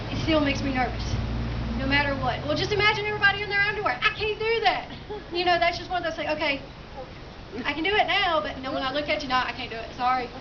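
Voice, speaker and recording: Amid noticeable background noise and audible room echo, a woman with an extremely high pitch speaks at a very fast pace with lively intonation. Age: 20s. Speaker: suicide awareness speaker. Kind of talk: personal testimony speech.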